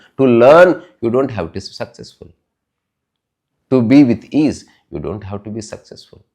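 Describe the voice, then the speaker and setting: A man with a Telugu accent speaks at a moderate pace. His voice has vocal fry. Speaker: spiritual talk podcaster. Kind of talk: spiritual talk.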